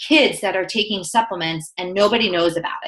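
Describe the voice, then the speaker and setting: Speaking at a fairly quick pace, a woman uses a medium pitch and lively intonation. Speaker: sports nutritionist. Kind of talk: webinar talk. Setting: conference call. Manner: fast.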